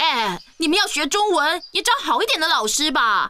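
A cartoonish character voice speaks in a high pitch at a moderate pace. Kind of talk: cartoon comic acting. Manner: cocky, teasing, energetic.

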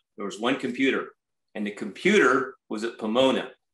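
Over a quiet background with audible room echo, a man speaks with an American accent. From California (Watsonville area); California. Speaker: strawberry farmer and farm manager; guest. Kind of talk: guest lecture. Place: home room. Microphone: video call.

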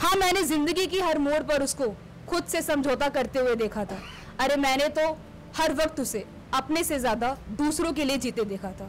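Over light background noise, a woman talks at a fairly slow pace in a high pitch. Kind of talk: spoken word poetry and commentary. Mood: earnest, emotional. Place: stage. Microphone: studio mic.

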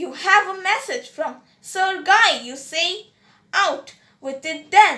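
A woman's raised, projected voice at an extremely high pitch, very slow in pace, bright and sharp in tone, with lively intonation and big swings in loudness. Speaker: audiobook reader. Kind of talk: audiobook reading of a story, narrated aloud. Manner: steady storyteller pace, formal and narrative.

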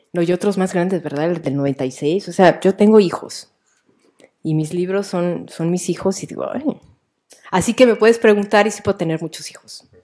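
Over a quiet background, a woman with a Mexican accent and a dark, mellow tone speaks at a moderate pace with ordinary pitch variation and big swings in loudness. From Mexico, Jalisco. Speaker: writer. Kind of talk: author talk with students. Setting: live event with school audience. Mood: warm, playful. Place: hall.

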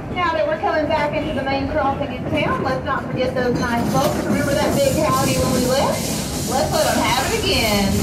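Over loud background noise, a woman talks at a moderate pace with hardly any pauses and ordinary pitch variation. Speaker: train conductor announcer. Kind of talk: ride announcement commentary. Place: train.

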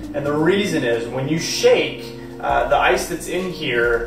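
A man is speaking. Clear music plays in the background, and there is audible room echo. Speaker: home bartender demonstrating cocktails. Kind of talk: tutorial. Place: home room. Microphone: camera far.

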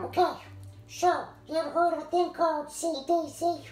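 A put-on character voice, female-sounding and extremely high-pitched, with monotone, flat intonation, a moderate pace, and slight echo. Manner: conspiratorial, rambling, comic.

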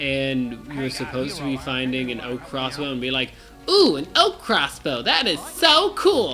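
Music is playing in the background. The man talks at a fairly slow pace. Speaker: gaming video co-host, playing the game. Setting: recording at home with a microphone, playing a video game. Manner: loud.

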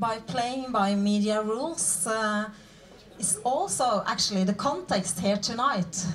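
Speaking with a Norwegian accent at a very slow pace, a woman leaves long, frequent pauses and shows ordinary pitch variation over light background noise. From Norway. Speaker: charity communications head; panel debater. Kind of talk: panel debate. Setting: stage with audience. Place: stage. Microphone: handheld.

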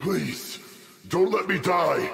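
Using a put-on character voice, a man talks slowly at a high pitch, with a fairly bright tone, lively intonation and vocal fry.

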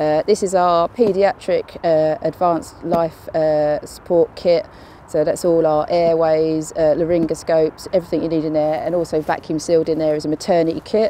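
An ordinary speaking voice at a moderate pace, recorded with a dry sound with no echo and light background noise. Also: woman. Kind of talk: interview answer and kit walkthrough. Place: street.

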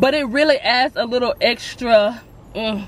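A high-pitched woman at a fairly slow pace, dry sound with no echo, faint music in the background. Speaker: food vlogger. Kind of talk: casual vlog chat, restaurant review. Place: car. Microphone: phone near.

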